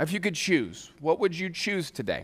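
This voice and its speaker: The voice belongs to a man with an American accent. It has a bright, sharp tone. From Southern California (Orange County). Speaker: guest Bible teacher. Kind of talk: sermon.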